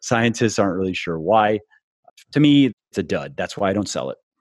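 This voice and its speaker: In an unremarkable speaking voice, a man talks at a fairly quick pace with lively intonation. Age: 30s. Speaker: fitness author and podcast host. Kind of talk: interview guest answering questions.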